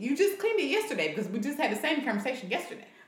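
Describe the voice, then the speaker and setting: Noticeable background noise accompanies a woman whose pitch moves in very wide swings. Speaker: podcast co-host, parent. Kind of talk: casual chat.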